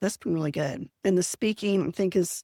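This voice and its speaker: A woman with an unremarkable speaking voice talks at a moderate pace and fairly low pitch, in a very clean recording with a silent background and a dry, close sound with no echo. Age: 60s. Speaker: productivity coach, retired teacher. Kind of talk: podcast interview.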